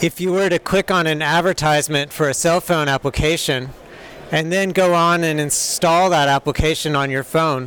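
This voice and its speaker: Fairly slow and fairly even in intonation, a man speaks with an American accent at a fairly high pitch. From United States. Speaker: software developer, conference speaker. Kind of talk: conference talk. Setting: stage with audience. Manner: hesitant, many fillers.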